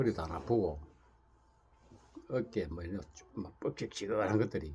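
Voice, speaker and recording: A man speaks in a very deep, low voice with a dark, mellow tone and a somewhat breathy quality. His moderate pace carries lively intonation and big swings in loudness. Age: 60s. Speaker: Buddhist monk. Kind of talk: casual talk to camera. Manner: rambling with repetitions.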